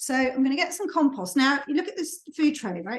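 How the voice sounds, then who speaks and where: The voice is a woman's, pitched high. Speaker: gardening tutor. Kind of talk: tutorial. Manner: fast.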